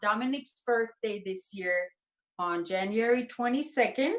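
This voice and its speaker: A woman with a German accent speaks with very wide pitch swings. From Germany, Nuremberg. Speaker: bereaved mother and activist. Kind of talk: interview.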